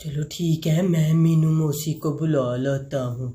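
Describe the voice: Using a cartoonish character voice, a man speaks at a fairly slow pace with a fairly high pitch.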